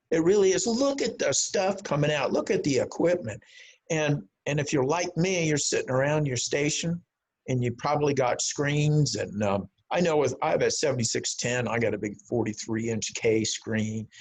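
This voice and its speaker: The speech moves at a moderate pace with lively intonation and a somewhat breathy quality. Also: man, fairly high pitch for a man. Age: 70s. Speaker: amateur radio organization board candidate. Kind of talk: talk to a club over video call. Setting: video call. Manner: halting, with many fillers and repetitions.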